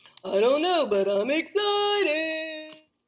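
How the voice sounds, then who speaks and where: The speaker uses a cartoonish character voice at a high pitch. The pace is fairly slow. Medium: puppet show. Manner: bright, excitable.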